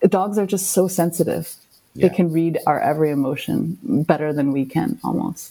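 With a dark, mellow tone and some vocal fry, a woman speaks at a fairly low pitch. Her pace is moderate and her pitch varies in an ordinary way. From Hong Kong. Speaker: documentary filmmaker. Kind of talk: interview. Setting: remote call.

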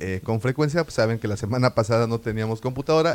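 A man in a Mexican accent, talking at a very fast pace with lively intonation. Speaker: podcast co-host. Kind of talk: casual chat.

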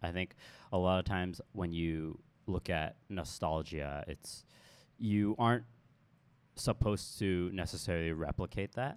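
Very deep and low, a man speaks fairly slowly with long, frequent pauses on a very clean recording with a silent background. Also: ordinary pitch variation. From Hong Kong. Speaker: designer. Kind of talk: panel discussion. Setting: live audience.

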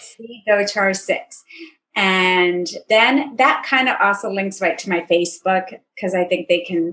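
An unremarkable speaking voice belongs to a woman. She has a medium pitch and ordinary pitch variation. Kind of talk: casual interview chat.

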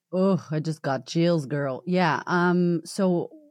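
Over a quiet background, a woman speaks in an animated tone at a fairly low pitch with ordinary pitch variation. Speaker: confidence coach and speaker. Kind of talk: casual chat. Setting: video call.

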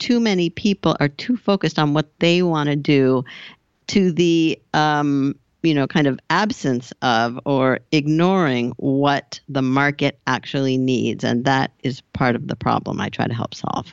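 A woman with an American accent has a very deep, low pitch. She speaks at a fairly slow pace with ordinary pitch variation. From US West Coast, Southern California. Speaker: business coach. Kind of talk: interview.

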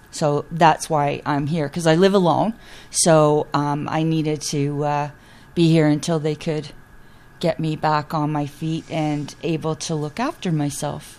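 At a fairly slow pace, the speaker uses monotone, flat intonation with a Canadian accent. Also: woman, very deep, low pitch for a woman. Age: 60s. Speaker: patient, retired steelworker. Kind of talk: interview.

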